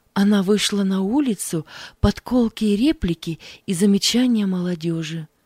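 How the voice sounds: The voice reads aloud naturally. Pitch moves up and down in an ordinary way.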